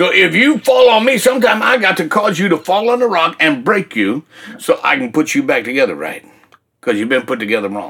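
Very wide pitch swings in a man's high voice, moving at a fairly quick pace. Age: 60s. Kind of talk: testimony. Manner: animated.

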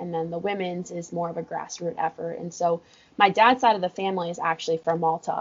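A woman with an American accent, fairly low in pitch, with fairly even intonation and noticeable background noise. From California. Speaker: college water polo coach. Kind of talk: casual interview. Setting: office at pool deck.

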